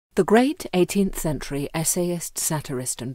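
Against a silent background in a very clean recording, a woman with a fairly low pitch speaks at a moderate pace with lively intonation in a plain, everyday voice. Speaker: actor reading poetry. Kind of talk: poem reading. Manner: formal, gently expressive.

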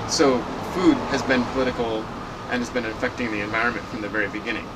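Noticeable background noise sits under a man speaking at a fairly quick pace. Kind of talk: interview answer. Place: garden. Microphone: camera far.

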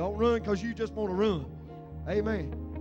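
Clear music plays in the background as a man speaks at a very fast pace. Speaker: pastor. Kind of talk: sermon. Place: church. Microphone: handheld.

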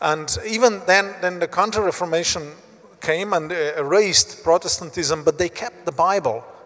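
A man with a Slovenian accent speaks in a high-pitched voice. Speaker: Bible society leader; guest. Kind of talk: interview. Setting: stage with audience. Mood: calm, engaged. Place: hall. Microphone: handheld.

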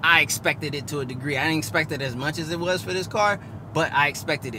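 A man talks at a very fast pace with ordinary pitch variation. The sound is dry with no echo, and background noise is noticeable. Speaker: car owner vlogger. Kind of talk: casual vlog chat. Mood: frustrated, emphatic. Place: car.

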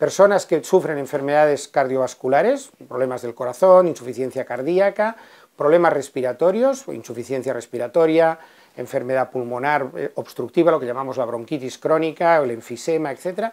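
A man speaks at a fairly high pitch with ordinary pitch variation against a quiet background. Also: moderate pace. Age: 60s. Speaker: physician. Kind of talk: explainer. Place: office. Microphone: lapel.

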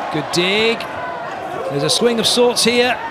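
A man uses a raised, projected voice with an animated, excited tone and ordinary pitch variation. Loud background noise is present, and the sound is dry with no echo. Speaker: volleyball commentator. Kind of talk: live sports commentary. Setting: match broadcast. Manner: animated, excited play-by-play.

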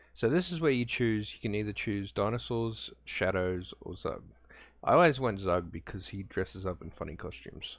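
This man has an unremarkable speaking voice, pitched fairly low. He talks at a moderate pace with big swings in loudness. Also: lively intonation. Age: 30s. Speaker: gaming youtuber. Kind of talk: let's play commentary. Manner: casual, laughing often.

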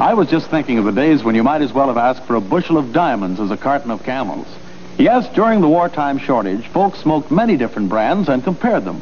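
The speaker talks very fast in an upbeat tone with very wide pitch swings. Noticeable background noise runs underneath. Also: man. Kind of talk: 1940s radio cigarette commercial, scripted sales pitch. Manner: brisk, upbeat, polished announcer delivery with emphatic, persuasive emphasis.

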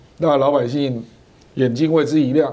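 The man's dark, mellow tone holds a moderate pace. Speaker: political commentator. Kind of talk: talk show panel discussion.

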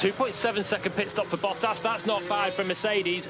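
With noticeable background noise but a dry sound with no echo, a man speaks in a raised, projected, animated voice at a high pitch. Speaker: race commentator. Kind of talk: live race commentary. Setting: radio broadcast. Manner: animated, quick, urgent play-by-play. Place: booth.

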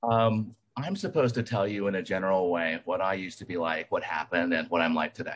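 A man in a plain, everyday voice talks at a fairly quick pace with hardly any pauses, fairly low in pitch and with ordinary pitch variation. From US South, Alabama. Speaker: recovering alcoholic speaker. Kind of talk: testimony.

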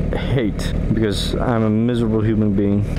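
Fairly slow speech plays against loud background noise. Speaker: motovlogger. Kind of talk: casual vlog chat. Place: motorbike. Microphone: helmet.

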